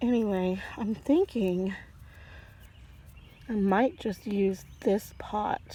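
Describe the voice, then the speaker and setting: Her tone is relaxed and her pitch is medium for a woman. The woman's intonation is fairly even. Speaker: home gardener vlogger. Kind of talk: casual walkthrough narration. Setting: outdoors on patio. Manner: relaxed, hesitant with fillers; soft-spoken, quiet.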